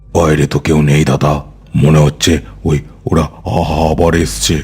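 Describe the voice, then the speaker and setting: A man does a cartoonish character voice, raspy and very deep with a low pitch, at very even loudness. Light background noise sits behind him. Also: moderate pace. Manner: stammering, fearful.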